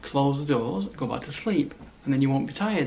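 Light background noise runs under this clip. A man speaks at a moderate pace, his pitch varying in an ordinary way. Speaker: vlogger. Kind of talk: casual vlog chat. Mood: joking, teasing.

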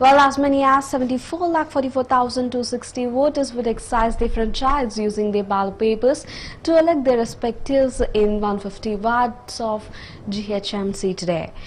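At a fairly slow pace, a woman talks in a high voice with ordinary pitch variation. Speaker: news anchor. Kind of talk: news reading. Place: studio. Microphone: lapel.

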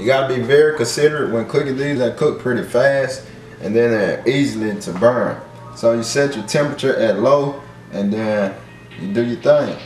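A man is speaking with audible room echo. Music plays in the background. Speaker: home cook vlogger. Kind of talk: casual cooking tutorial. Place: kitchen.

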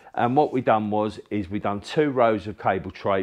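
A man talks at a fairly quick pace with a fairly low pitch and ordinary pitch variation, in a plain, everyday voice. The background is quiet. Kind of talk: casual explanation of a job. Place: workshop.

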